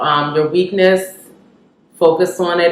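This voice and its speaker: This is an unremarkable speaking voice. It goes at a moderate pace. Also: woman. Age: 20s. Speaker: registered nurse. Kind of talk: casual talk to camera.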